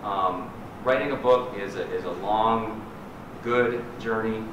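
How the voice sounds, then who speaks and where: A man speaks with a fairly low pitch. Audible room echo and noticeable background noise come through the recording. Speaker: poet and nonprofit director. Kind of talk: poem reading, after a short spoken intro to a library audience. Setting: reading at a library event. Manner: halting in the intro, then measured, deliberate and wry when reading. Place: hall. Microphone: podium.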